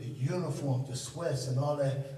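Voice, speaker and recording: A man with a fairly high pitch speaks in a monotone, flat way, with audible room echo around him. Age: 60s. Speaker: former high school basketball player. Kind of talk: casual reminiscing chat.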